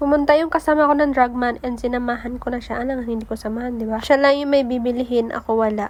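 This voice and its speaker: A woman speaks at a very fast pace in a high voice. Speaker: vlogger. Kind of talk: casual vlog voice-over narration.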